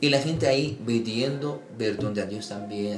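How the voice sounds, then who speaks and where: Fairly even intonation from a man with an Arabic accent, amid audible room echo and noticeable background noise. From Egypt. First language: Arabic (speaking Spanish). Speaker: imam. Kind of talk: interview.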